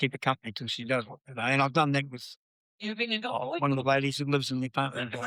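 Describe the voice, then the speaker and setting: A man with a New Zealand accent, fairly high pitch, bright and sharp tone, ordinary pitch variation, and a very fast pace in a dry, close sound with no echo. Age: 70s. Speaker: swim coach. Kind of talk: casual chat. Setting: cafe. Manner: halting.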